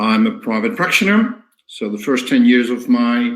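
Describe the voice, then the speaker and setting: With a Dutch accent, a man talks at a moderate pace. His medium pitch shows ordinary pitch variation. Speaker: physiotherapy teacher. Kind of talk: lecture. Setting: online webinar. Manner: halting, many fillers.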